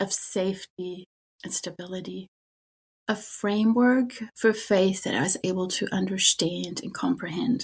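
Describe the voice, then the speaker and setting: Her voice comes in a German accent and is somewhat breathy. The woman uses ordinary pitch variation. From Germany. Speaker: spiritual director. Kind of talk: interview.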